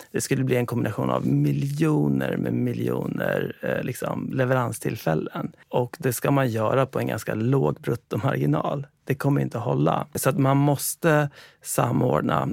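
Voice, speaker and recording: Speaking in a fairly low pitch with very wide pitch swings, a man talks with hardly any pauses against noticeable background noise. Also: moderate pace. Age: 40s. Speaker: founder and CEO of a food delivery company. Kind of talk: interview. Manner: halting.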